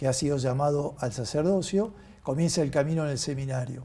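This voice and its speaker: A man speaks at a fairly high pitch in a dark, mellow tone. His voice is somewhat breathy. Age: 60s. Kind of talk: interview.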